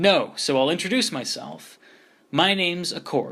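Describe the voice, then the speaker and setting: In a put-on character voice pitched high, a man speaks at a moderate pace on a very clean recording with a silent background. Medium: read story.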